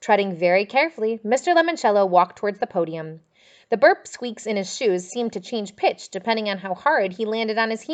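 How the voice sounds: Someone reads in a natural voice, the intonation rising and falling with liveliness.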